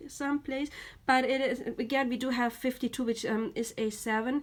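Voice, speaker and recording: Intonation is fairly even. The delivery moves at a moderate pace. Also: woman. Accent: German. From Germany. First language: German. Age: 30s. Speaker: tarot reader. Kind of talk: tarot reading. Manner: halting.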